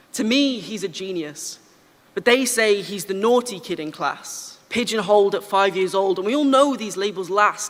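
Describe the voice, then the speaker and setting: The speaker has an English accent, with noticeable background noise. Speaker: spoken word poet. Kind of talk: slam poetry performance. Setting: stage with audience. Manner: fast.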